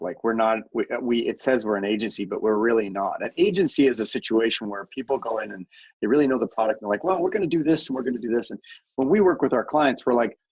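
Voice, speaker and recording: Talking at a very fast pace, a man with a Canadian accent uses lively intonation. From Canada. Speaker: media company founder and CEO. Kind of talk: podcast interview.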